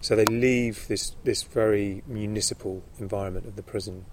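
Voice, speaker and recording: Somewhat breathy speech with a southern English accent and audible room echo. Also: man. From London, England. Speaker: author and charity founder. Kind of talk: interview. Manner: halting.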